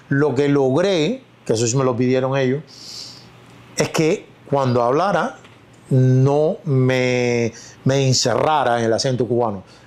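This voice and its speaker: A man at medium pitch, fairly slow, with long, frequent pauses, very even loudness, ordinary pitch variation and noticeable background noise. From Cuba. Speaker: actor. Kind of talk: interview.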